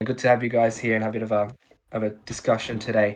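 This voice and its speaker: A man talks at a very fast pace with an Australian accent. His pitch is medium, and the background is quiet. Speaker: podcast host. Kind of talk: casual chat.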